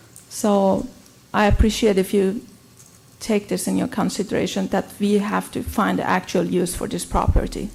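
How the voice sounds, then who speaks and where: The pace is moderate. The woman has a non-native accent. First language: not English. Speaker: applicant, beauty salon owner. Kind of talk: public comment at council hearing. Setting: city council meeting. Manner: halting.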